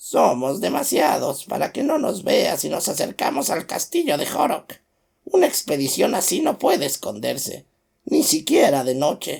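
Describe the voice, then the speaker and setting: Here a man puts on a character voice, pitched high. His pace is moderate. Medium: read story.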